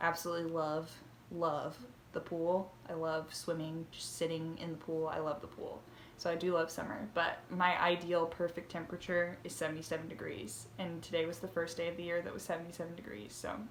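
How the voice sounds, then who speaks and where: A woman with an American accent at a fairly low pitch and fairly quick pace, with ordinary pitch variation, big swings in loudness and audible room echo. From southern Indiana, US. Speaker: knitting podcaster. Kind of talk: casual vlog chat. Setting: home, by bedroom window. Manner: fast, rushing.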